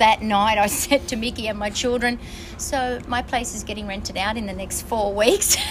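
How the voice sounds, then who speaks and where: A woman speaks at a moderate pace in an Australian accent with monotone, flat intonation. Audible room echo and noticeable background noise fill the recording. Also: fairly high pitch for a woman. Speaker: traveller. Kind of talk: casual chat. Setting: on board a ship.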